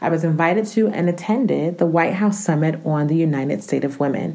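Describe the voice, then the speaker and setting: In a room with audible echo, a woman speaks with an American accent at a very deep, low pitch. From US Northeast, Newark, New Jersey. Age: 30s. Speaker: podcast host. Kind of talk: scripted podcast monologue.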